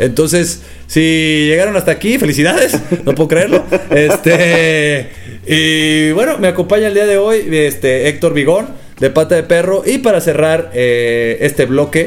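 A man with a slight northern Mexican accent speaks at a fairly high pitch, with lively intonation and very even loudness. There is noticeable background noise. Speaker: podcast host. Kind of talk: casual chat. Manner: fast.

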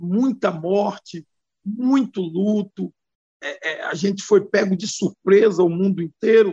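A man's high-pitched voice with a dark, mellow tone, ordinary pitch variation and a very slow pace. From Bahia, Brazil. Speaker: federal deputy and pastor. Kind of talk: interview. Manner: animated.

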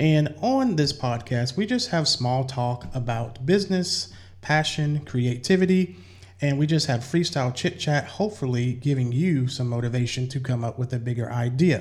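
A man with a somewhat breathy, medium-pitched voice speaks at a moderate pace with lively intonation. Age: 40s. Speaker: podcast host. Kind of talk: casual interview chat.

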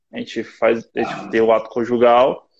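A normal speaking voice from a man, medium in pitch, at a fairly slow pace over a quiet background. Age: 20s. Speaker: personal trainer. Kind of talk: casual chat. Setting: online video live stream.

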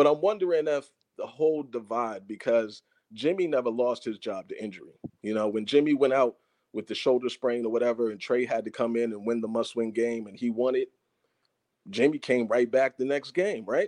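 Speaking at a fairly quick pace, a man has a medium pitch with ordinary variation. The sound is dry and close, with no echo. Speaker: football fan caller. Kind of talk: casual chat. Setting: video call. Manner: animated.

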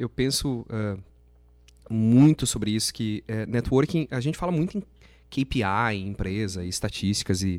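Lively intonation runs through a man's ordinary speaking voice as he keeps a moderate pace. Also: very clean recording, silent background. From southern Brazil (Gramado, Rio Grande do Sul). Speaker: event organizer and entrepreneur. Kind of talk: casual interview chat.

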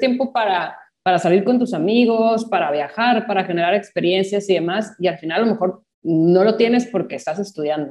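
This woman talks at a moderate pace. Her tone is dark and mellow. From small town in Mexico. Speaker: architecture professor. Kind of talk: casual panel conversation.

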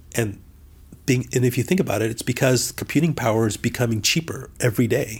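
Somewhat breathy, a man speaks at a medium pitch with ordinary pitch variation in a very clean recording with a silent background. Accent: American. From Southern California. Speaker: CEO and business leader. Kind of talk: interview.

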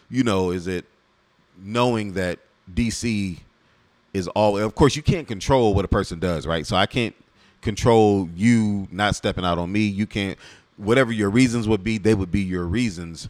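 His is an ordinary speaking voice, pitched fairly low. The man keeps a moderate pace, and his pitch varies in an ordinary way. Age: 40s. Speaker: podcast host, married man. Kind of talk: casual chat.

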